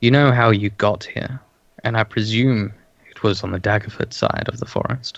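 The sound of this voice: An unforced reading voice is heard throughout the clip.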